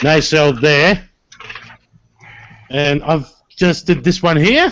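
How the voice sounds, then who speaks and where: Here a man talks at a fairly slow pace. His voice is fairly high with ordinary pitch variation. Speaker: scale modeler. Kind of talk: casual chat.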